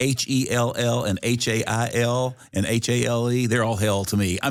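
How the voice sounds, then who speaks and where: A man drawls in an East Tennessee accent over noticeable background noise. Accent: Southern American, East Tennessee. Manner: vowel-merged Southern drawl.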